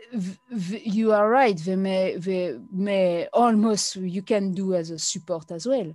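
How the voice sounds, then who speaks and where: A woman speaks with a French accent at a medium pitch, her tone dark and mellow with ordinary pitch variation. The recording is very clean, with a silent background. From France. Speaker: blogger. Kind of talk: interview. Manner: halting.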